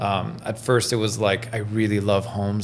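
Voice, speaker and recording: Over background music, a man talks in a fairly low pitch. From Iran, raised in Belgium and Toronto. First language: French. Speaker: realtor. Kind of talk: casual interview.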